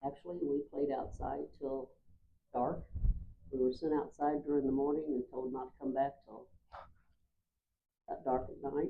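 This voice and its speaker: Someone with a Midwestern American accent speaks at a moderate pace with fairly even intonation, big swings in loudness, and long, frequent pauses. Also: woman, very deep, low pitch for a woman. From US Midwest, Marshall, Missouri. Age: 70s. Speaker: oral history interviewee. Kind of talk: oral history interview.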